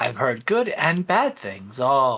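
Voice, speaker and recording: A man performs a put-on character voice. It sits at medium pitch. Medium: actual play. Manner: unhurried, wry.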